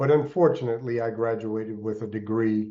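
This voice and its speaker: A man with an American accent and an ordinary speaking voice, medium in pitch, at a moderate pace with fairly even intonation. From Alaska (Anchorage), earlier upstate New York. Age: 60s. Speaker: entrepreneur and mentor. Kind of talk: podcast interview.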